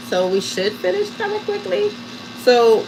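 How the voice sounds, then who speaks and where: A woman with a New York accent at a fairly high pitch, amid noticeable background noise. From Harlem, New York. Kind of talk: casual livestream chat and crafting tutorial. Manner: casual, chatty.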